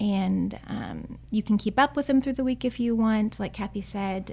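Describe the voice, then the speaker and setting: Spoken in a Texan accent at a moderate pace, the recording is very clean with a silent background. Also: woman. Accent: Texan American. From Austin, Texas. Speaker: church ESL volunteer coordinator. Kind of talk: interview.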